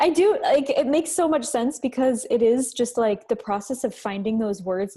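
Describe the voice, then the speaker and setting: A woman talks at a moderate pace in a high pitch with very wide pitch swings and a dark, mellow tone. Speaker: meetup co-host. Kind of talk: panel Q&A. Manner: rising intonation at sentence ends.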